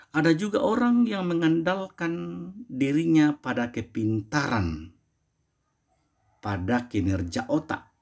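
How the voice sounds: Vocal fry and a slightly mellow tone mark this slow-paced voice on a very clean recording with a silent background. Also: man, fairly high pitch for a man, lively intonation.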